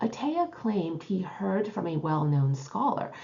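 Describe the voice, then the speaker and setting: There is noticeable background noise as a woman with a fairly low pitch talks at a moderate pace. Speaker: tarot teacher and author. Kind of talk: educational video lecture.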